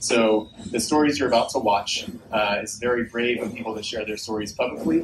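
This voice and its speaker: The man's fairly quick delivery carries over noticeable background noise. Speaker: event host. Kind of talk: public speech introduction. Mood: earnest, heartfelt. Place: stage. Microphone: pa.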